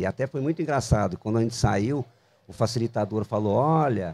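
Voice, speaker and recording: Here a man speaks at a medium pitch with lively intonation. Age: 60s. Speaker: designer and entrepreneur. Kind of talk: casual interview. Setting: outdoors in a public square bandstand.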